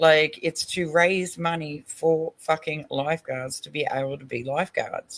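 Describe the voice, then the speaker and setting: Speaking in an Australian accent at a very deep, low pitch, a woman uses an animated tone and a fairly slow pace with hardly any pauses and big swings in loudness. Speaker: online stream panel host. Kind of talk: casual chat reacting to a video.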